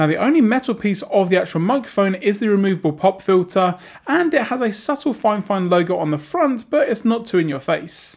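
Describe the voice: A man speaks at a fairly quick pace with high pitch, lively intonation and vocal fry. He leaves few pauses.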